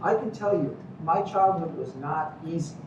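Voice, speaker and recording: There is audible room echo. Noticeable background noise runs underneath. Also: man. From Cuba, raised in Miami. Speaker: medical professor. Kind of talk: lecture. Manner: animated.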